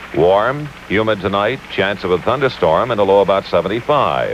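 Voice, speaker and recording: A man with a fairly low pitch talks at a moderate pace. Noticeable background noise runs underneath. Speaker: news anchor. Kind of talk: radio weather report read.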